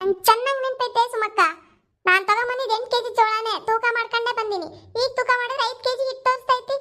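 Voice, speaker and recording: A woman puts on a cartoonish character voice at an extremely high pitch. She keeps a moderate pace and fairly even intonation. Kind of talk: cartoon comic drama. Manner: loud, emphatic.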